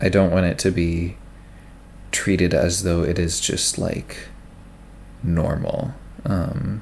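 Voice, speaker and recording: A soft-spoken man talks. His voice sits very deep and low. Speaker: ASMR creator. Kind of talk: casual chat. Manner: halting.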